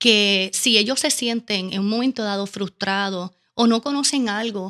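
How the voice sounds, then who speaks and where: A woman speaks with a Caribbean Spanish accent in a bright, sharp tone, the sound dry and close with no echo on a very clean recording with a silent background. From Puerto Rico. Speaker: educational consultant. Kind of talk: interview. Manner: fast.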